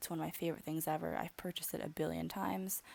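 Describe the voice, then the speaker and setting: A woman speaks very fast with an American accent. The recording is very clean, with a silent background. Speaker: beauty vlogger. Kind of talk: voiceover narration. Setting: alone, recorded voiceover.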